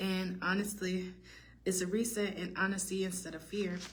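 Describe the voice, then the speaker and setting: Audible room echo surrounds a woman whose voice carries vocal fry. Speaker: tarot reader. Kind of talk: tarot reading monologue. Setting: study hall. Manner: fast; halting.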